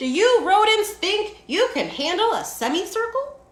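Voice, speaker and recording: At a moderate pace, a woman performs a squeaky, put-on character voice pitched extremely high, her intonation lively. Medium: read story. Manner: easygoing, firm.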